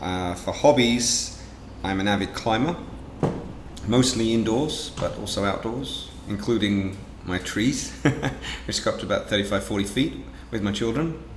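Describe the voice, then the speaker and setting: Over noticeable background noise and audible room echo, a man speaks with an English accent at medium pitch. He keeps a moderate pace with ordinary pitch variation and long, frequent pauses. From England. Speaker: business owner. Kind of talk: interview.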